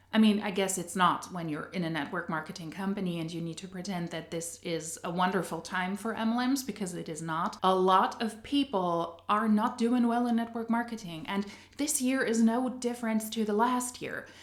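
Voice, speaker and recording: Speaking at a moderate pace with hardly any pauses, a woman with a non-native accent is heard over noticeable background noise. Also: medium pitch for a woman, ordinary pitch variation. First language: not English. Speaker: anti-MLM commentary youtuber. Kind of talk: video commentary.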